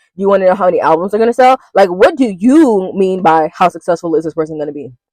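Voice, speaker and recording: Speaking very fast, a woman of medium pitch sounds animated, with lively intonation and a dry, close sound with no echo. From US. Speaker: tarot reader. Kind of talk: commentary to camera. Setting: filmed at home at night.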